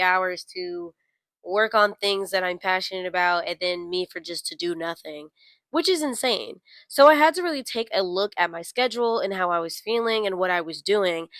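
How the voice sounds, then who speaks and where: A woman with an unremarkable speaking voice talks at a moderate pace and medium pitch. The recording is very clean with a silent background, and the sound is dry and close with no echo. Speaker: lifestyle vlogger. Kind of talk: casual advice monologue to camera.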